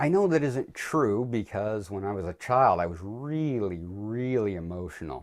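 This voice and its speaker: A man's normal speaking voice, fairly low-pitched, with lively intonation, a moderate pace, hardly any pauses, and a quiet background. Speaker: vlogger on religion and philosophy. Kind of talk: personal video essay.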